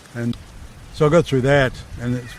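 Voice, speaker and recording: With an Australian accent, a man talks fairly quickly at a medium pitch in a monotone, flat intonation. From South Australia, Leigh Creek. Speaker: war veteran. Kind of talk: interview, casual life story. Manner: halting, many repeated words.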